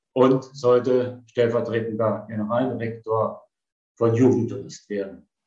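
A man's somewhat breathy voice with a dark, mellow tone. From eastern Germany (Potsdam). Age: 70s. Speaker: retired travel executive. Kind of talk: personal storytelling.

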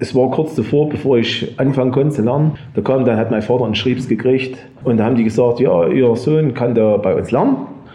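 A man of medium pitch talks at a fairly quick pace, keeping his loudness very even and his intonation fairly even. Audible room echo and noticeable background noise are present. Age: 50s. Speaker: engraving master, business owner. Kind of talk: storytelling in a group talk.

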